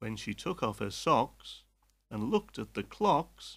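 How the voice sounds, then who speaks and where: A man with a British accent speaks at a very slow pace, his pitch swinging very widely, on a very clean recording with a silent background. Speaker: English teacher. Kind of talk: limerick reading for language learners.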